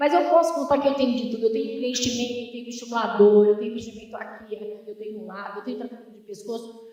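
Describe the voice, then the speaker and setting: A woman's very fast, fairly high-pitched delivery, with fairly even intonation, hardly any pauses and big swings in loudness. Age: 60s. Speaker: dermatologist. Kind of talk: workshop talk.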